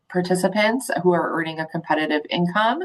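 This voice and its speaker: This woman has a normal speaking voice, medium in pitch with ordinary pitch variation. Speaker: intake coordinator at a community agency. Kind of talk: presentation.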